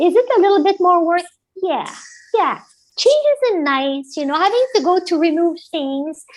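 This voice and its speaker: A woman speaks with an extremely high pitch and an animated tone. Her intonation is lively, and her pace is moderate. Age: 60s. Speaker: health coach. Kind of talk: interview. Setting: live-streamed talk show.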